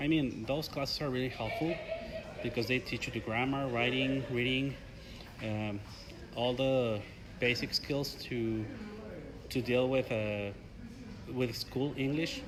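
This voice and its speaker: Over noticeable background noise, a man with a Spanish accent speaks at a fairly slow pace with fairly even intonation and long, frequent pauses. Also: medium pitch for a man. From Mexico. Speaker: graduate student, English learner. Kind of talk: interview. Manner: halting.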